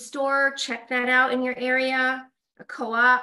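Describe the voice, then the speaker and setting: With an American accent, a woman speaks in a high, raised, projected voice with monotone, flat intonation. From Colorado. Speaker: esthetician and wellness presenter. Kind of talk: live-streamed product demo.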